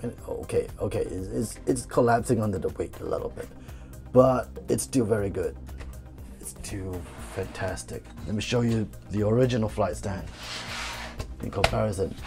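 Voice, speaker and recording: Over background music, a man speaks at a moderate pace with big swings in loudness and long, frequent pauses. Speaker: toy reviewer. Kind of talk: casual product review to camera.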